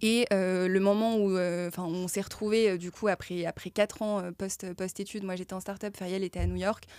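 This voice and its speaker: The voice is monotone and flat, moving at a moderate pace with hardly any pauses. The sound is dry with no echo over a quiet background. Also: woman. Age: 30s. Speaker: startup co-founder; guest. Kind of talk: casual interview. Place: studio. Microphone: studio mic.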